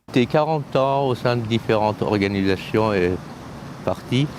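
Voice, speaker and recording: A man speaks at a fairly slow pace with lively intonation. Noticeable background noise runs underneath. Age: 60s. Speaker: passerby, former political activist. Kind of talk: street interview.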